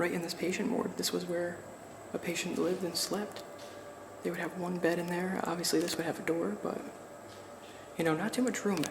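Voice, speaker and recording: Someone whispers quietly at a fairly quick pace, with long, frequent pauses, noticeable background noise and audible room echo. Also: man. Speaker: urban explorer vlogger. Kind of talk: walkthrough vlog narration. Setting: inside abandoned building. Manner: whispering.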